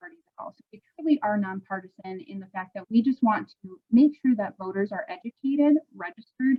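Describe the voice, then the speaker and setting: With an American accent and a somewhat breathy voice, the speaker talks at a fairly quick pace. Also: woman. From Milwaukee, Wisconsin. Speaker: voting rights volunteer. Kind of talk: webinar presentation. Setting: video call. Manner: soft-spoken.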